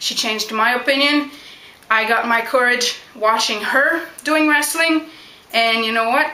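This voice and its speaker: Against noticeable background noise, a woman uses a raised, projected voice with a high pitch at a fairly slow pace. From Quebec, Canada (Montreal). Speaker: backyard wrestler. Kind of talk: Q&A vlog.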